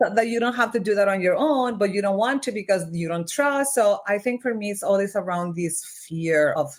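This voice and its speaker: A woman with a slight Mexican accent talks at a fairly quick pace and medium pitch, with lively intonation and hardly any pauses. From Mexico (Monterrey). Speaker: organizational development consultant. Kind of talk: podcast interview.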